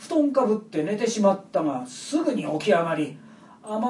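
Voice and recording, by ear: A passage is being read aloud in a natural voice.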